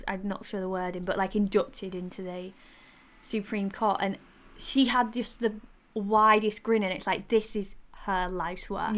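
In a strong Yorkshire accent, a woman talks at a medium pitch with fairly even intonation. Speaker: podcast co-host.

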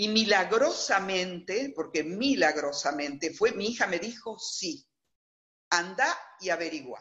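A woman speaks at a fairly slow pace from a medium pitch. Her pitch swings very widely. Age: 60s. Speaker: interviewee telling her life story. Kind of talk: testimony. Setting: video call.

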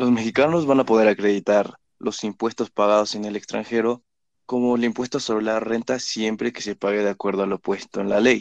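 A man speaks at a fairly quick pace with a fairly low pitch. His intonation is fairly even, and the sound is dry and close with no echo. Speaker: student presenter. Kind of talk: educational explanation.

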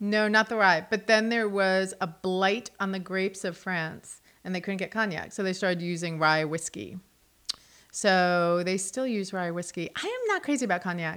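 A woman with an American accent speaks in an ordinary speaking voice, medium in pitch, at a moderate pace with fairly even intonation. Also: very clean recording, silent background. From New Jersey / New York City. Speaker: art museum curator. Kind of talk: casual chat. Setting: studio.

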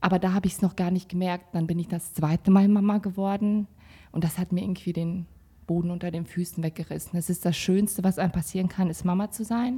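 At a very fast pace, a woman talks with a medium pitch, fairly even intonation and a somewhat breathy, dark, mellow tone, recorded very cleanly with a silent background. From Kazakhstan, raised in Sauerland, Germany. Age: 30s. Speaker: salon owner, mother. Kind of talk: casual chat.

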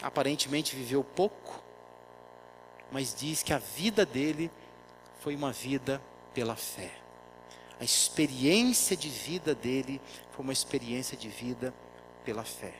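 The man speaks fairly slowly. His pauses are long and frequent. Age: 40s. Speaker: pastor. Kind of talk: sermon.

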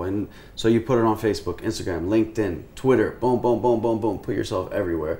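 A man with an American accent speaks in a fairly low, dark, mellow voice. It is somewhat breathy, with ordinary pitch variation. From US, Houston, Texas. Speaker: influencer and talent manager. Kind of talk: casual interview chat.

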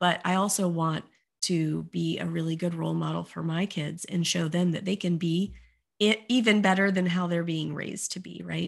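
Recorded very cleanly against a silent background, a woman talks at a moderate pace. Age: 40s. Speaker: life coach and business founder. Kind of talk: podcast interview.

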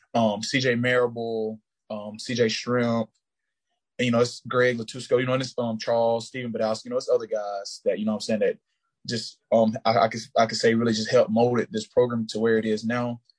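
A man with a Southern US accent, medium pitch, fairly quick pace, flat monotone intonation, and a dry, close sound with no echo. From US South, rural Georgia. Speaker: college football player. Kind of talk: interview. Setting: video call.

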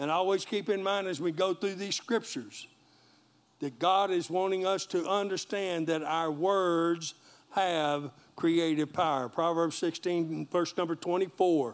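An American-accented man with a high pitch and ordinary pitch variation speaks in an animated tone at a fairly slow pace, in a very clean recording over a silent background. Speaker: pastor. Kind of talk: sermon to a live congregation, call-and-response preaching. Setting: church with congregation and live stream. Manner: animated, rallying, exhorting the crowd with repeated 'Amen?' prompts; warm, folksy, joking.

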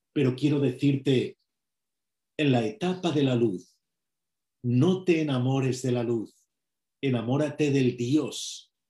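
At a very slow pace, a man with a fairly high pitch speaks in a somewhat breathy voice with a dark, mellow tone. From Spain. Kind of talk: sermon.

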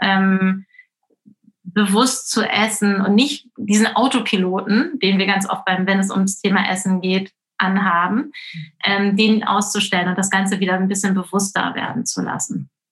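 A woman with a normal speaking voice and medium pitch talks at a moderate pace with fairly even intonation. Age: 40s. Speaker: intuitive eating coach. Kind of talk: interview.

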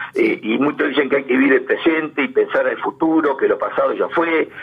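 There is noticeable background noise in this recording. A man with a Rioplatense accent talks at a fairly quick pace. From Argentina, Berisso (Buenos Aires province). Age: 70s. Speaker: interviewee, amateur local history writer. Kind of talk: radio interview, reminiscing.

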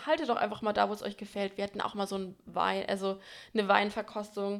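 In a very clean recording with a silent background, a woman speaks at a fairly quick pace in a monotone, flat intonation. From Franconia, Germany. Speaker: podcast co-host. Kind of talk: casual chat.

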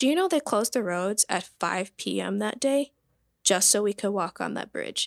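With very wide pitch swings, a woman in an American accent is heard in a very clean recording with a silent background and a dry, close sound with no echo. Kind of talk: casual chat.

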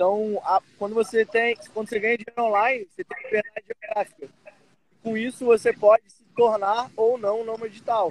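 A man's voice sits high and shows big swings in loudness. The sound is dry and close with no echo. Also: ordinary pitch variation, moderate pace. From Brazil, Rio de Janeiro. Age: 20s. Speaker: digital nomad entrepreneur. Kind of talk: casual interview.

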